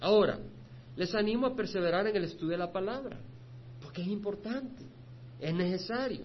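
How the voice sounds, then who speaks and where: Speaking at a fairly quick pace, a man with a high voice and lively intonation leaves long, frequent pauses, with audible room echo around him. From El Salvador. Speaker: pastor. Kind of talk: sermon.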